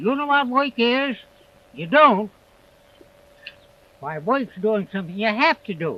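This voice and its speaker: A man with an American accent speaks at a fairly slow pace. His raised, projected voice moves through very wide pitch swings. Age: 80s+. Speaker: farmer. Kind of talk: interview answer. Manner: slow, rambling.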